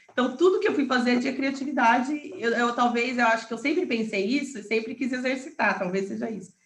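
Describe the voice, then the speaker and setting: Very fast speech with hardly any pauses, ordinary pitch variation and audible room echo. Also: woman, high pitch for a woman. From Paraná interior, Brazil. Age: 30s. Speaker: entrepreneur and real estate broker. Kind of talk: interview.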